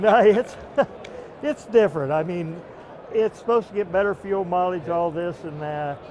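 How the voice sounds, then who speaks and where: A man speaks at a high pitch with ordinary pitch variation. Long, frequent pauses break his speech, and noticeable background noise runs beneath. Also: moderate pace. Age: 70s. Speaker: truck driver. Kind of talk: casual chat. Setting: trade show event.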